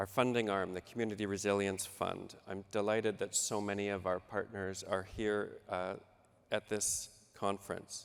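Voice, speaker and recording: A man with a Canadian accent, fairly low in pitch, at a moderate pace in a monotone, flat intonation. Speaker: government official. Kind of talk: panel presentation.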